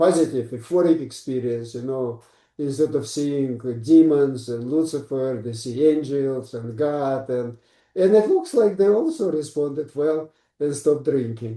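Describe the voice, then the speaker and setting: The tone is dark and mellow, with a Russian accent. Delivery comes at a fairly slow pace. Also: man, fairly high pitch for a man, ordinary pitch variation. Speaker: psychiatrist. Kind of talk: interview.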